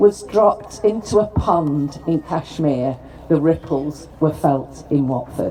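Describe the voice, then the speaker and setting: Noticeable background noise accompanies a woman with a Lancashire accent. She speaks at a fairly slow pace with very wide pitch swings. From northern England, Preston, Lancashire. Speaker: politician, former mayor. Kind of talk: formal speech at ceremony.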